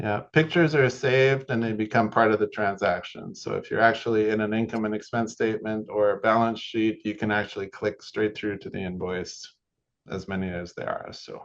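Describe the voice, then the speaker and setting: At a fairly quick pace, a man speaks in a plain, everyday voice, fairly low in pitch with ordinary pitch variation. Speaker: software product specialist. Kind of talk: tutorial.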